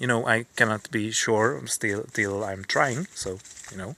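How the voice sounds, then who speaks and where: A man speaks with a non-native accent. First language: not English. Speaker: streamer. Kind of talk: live stream monologue. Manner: halting, many repetitions and fillers.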